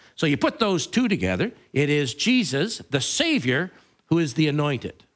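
A man's fairly high-pitched voice with vocal fry, very wide pitch swings and a fairly slow pace. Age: 50s. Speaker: pastor. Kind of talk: sermon. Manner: halting.

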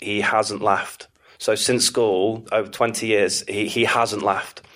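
This man has a Manchester accent. He speaks at a very slow pace. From northern England, Manchester area. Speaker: AI specialist. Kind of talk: interview conversation.

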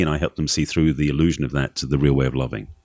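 In a very clean recording with a silent background, a man talks with an Essex accent. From England, Essex. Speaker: relationship coach. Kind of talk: interview.

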